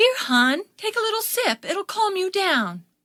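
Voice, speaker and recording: Using a put-on, squeaky character voice, a woman speaks at a moderate pace with an extremely high pitch and very wide pitch swings. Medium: audio drama. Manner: gentle, nurturing.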